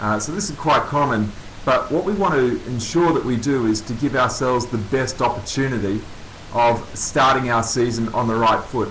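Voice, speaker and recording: A man speaks with an Australian accent. The recording has audible room echo and noticeable background noise. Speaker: coaching consultant, former Olympian. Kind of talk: webinar presentation. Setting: online webinar.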